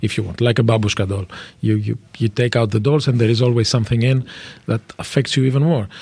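The voice is somewhat breathy, with very even loudness. It moves at a very fast pace with fairly even intonation. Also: man, medium pitch for a man. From France and Greece. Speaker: vice mayor for migrant affairs. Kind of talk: radio interview. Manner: halting, repeats words.

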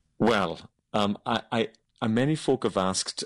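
A man speaks at a fairly slow pace with a Hebridean accent. The sound is dry and close with no echo, over a quiet background. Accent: Hebridean Scottish. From Scotland, Outer Hebrides. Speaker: baker and cookbook author. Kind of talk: interview. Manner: calm.

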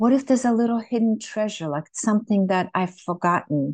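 Woman at a medium pitch and moderate pace, ordinary pitch variation, in a dry, close sound with no echo. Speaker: mother interviewee. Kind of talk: casual reflective interview. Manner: warm, hesitant, halting.

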